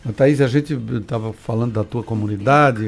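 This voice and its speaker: A man talks at a moderate pace and medium pitch, with ordinary pitch variation. He has an unremarkable speaking voice. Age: 60s. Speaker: radio host. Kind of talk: radio interview.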